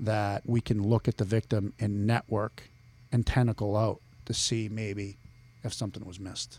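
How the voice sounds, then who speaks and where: A man speaks with a Boston accent at a moderate pace. His intonation is flat and monotone. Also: dry, close sound with no echo. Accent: Boston accent, still present despite efforts. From Boston area (Billerica, Massachusetts). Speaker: criminal law professor and navy veteran. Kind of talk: casual interview. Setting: podcast studio.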